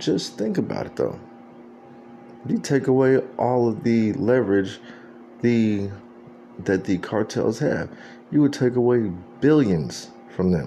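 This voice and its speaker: Speaking with an American accent at a fairly slow pace, a man uses ordinary pitch variation and long, frequent pauses over noticeable background noise. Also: medium pitch for a man. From Texas, San Antonio. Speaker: video blogger. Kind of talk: political commentary monologue.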